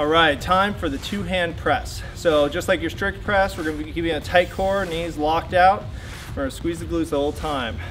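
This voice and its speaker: Music plays in the background while a man speaks at a fairly quick pace. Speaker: fitness trainer. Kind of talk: workout instruction. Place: garden.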